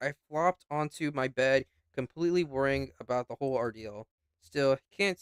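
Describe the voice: Against a quiet background, someone does plain reading aloud with ordinary pitch variation.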